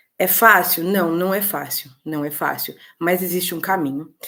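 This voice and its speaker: A woman talks at medium pitch, with ordinary variation in her pitch. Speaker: political mentor for women. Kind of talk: online webinar talk. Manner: fast.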